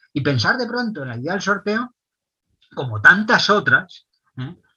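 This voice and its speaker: His pitch swings very widely. This man keeps a fairly slow pace. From Spain. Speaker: author and philosopher. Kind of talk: long-form interview.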